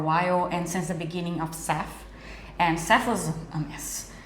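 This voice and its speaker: The speaker talks at a moderate pace in a Brazilian accent, with noticeable background noise and audible room echo. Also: woman. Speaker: immigration lawyer. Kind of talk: interview. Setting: cafe.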